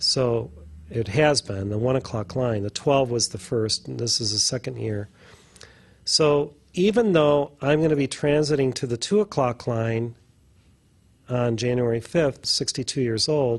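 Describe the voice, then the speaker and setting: A man speaks at a medium pitch and a fairly slow pace. His voice is somewhat breathy, with ordinary pitch variation. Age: 60s. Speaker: spiritual teacher. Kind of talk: casual chat.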